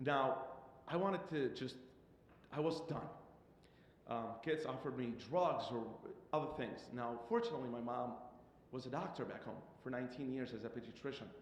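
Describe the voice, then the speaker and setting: With audible room echo, the speaker goes at a moderate pace, using ordinary pitch variation and long, frequent pauses. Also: man, medium pitch for a man. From Iraq, moved to Michigan at 13. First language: Arabic. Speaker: immigrant student consultant. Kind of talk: public comment testimony. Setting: public board meeting. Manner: halting.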